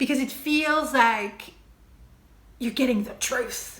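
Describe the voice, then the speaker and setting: A woman speaks with a French accent. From France. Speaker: TV maker and video essayist. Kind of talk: video essay monologue. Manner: casual, with hesitations.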